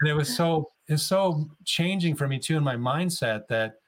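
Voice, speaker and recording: Somewhat breathy and fairly high in pitch, a man with an American accent speaks at a fairly slow pace with ordinary pitch variation. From US Midwest, Chicago area. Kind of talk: interview conversation. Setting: remote call.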